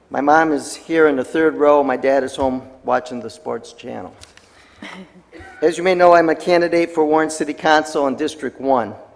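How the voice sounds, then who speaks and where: There is noticeable background noise. A man talks at a fairly high pitch and moderate pace with ordinary pitch variation. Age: 60s. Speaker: city council candidate. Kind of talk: public comment speech. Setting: city council meeting.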